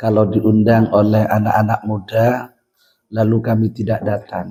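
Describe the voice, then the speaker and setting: This man speaks at a medium pitch in a dark, mellow tone. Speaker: Islamic scholar speaker. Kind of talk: speech to students.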